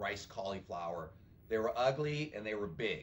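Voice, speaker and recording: A man's fairly low voice with lively intonation, amid audible room echo and noticeable background noise. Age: 60s. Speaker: bodybuilder turned food entrepreneur. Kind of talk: podcast interview. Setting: podcast. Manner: animated.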